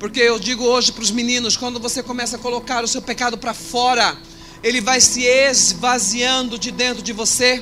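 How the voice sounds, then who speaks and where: A man's raised, projected voice at an extremely high pitch, monotone and flat, at a moderate pace against noticeable background noise. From Brazil, Cuiabá, Mato Grosso. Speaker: pastor. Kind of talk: testimony.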